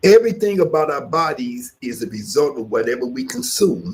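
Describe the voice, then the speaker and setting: A man at a moderate pace, with vocal fry. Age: 60s. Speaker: yoga teacher. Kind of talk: instructional class talk. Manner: halting, with frequent fillers.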